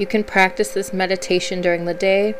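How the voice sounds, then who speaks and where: Music plays behind a woman speaking. Her voice sits at a medium pitch with a soothing, calm tone. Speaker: confidence coach and podcast host. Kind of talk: guided meditation. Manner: slow, soothing, calm; gentle, unhurried, with soft pauses.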